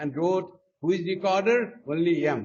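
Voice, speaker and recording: Speaking at a fairly slow pace, a man talks in a Nepali accent. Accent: South Asian (Nepali) English. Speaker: monk. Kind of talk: spiritual talk.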